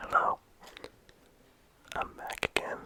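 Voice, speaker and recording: Amid noticeable background noise, a whispered voice moves at a fairly slow pace. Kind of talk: ASMR game review.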